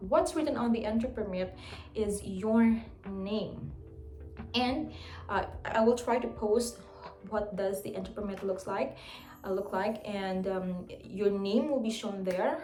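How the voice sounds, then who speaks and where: Amid noticeable background noise and audible room echo, a woman speaks at a fairly slow pace with ordinary pitch variation. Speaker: English teacher and vlogger. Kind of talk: tutorial vlog.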